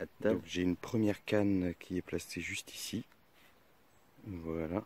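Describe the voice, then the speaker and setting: Soft-spoken, a man uses a very deep, low pitch and fairly even intonation at a fairly slow pace. The sound is dry and close, with no echo. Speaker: carp angler, channel owner. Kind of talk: casual vlog narration. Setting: outdoors, riverbank. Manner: soft-spoken, hushed.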